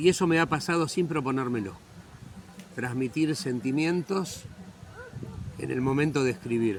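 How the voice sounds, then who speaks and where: At a moderate pace, the speech has lively intonation broken by long, frequent pauses. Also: man, medium pitch for a man. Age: 60s. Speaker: writer. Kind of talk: interview.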